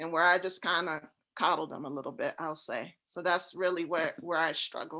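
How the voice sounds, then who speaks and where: The tone is bright and sharp, the intonation monotone and flat, the pace moderate, and the background quiet. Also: woman, fairly low pitch for a woman. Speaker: real estate investor. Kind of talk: casual chat. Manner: laid-back.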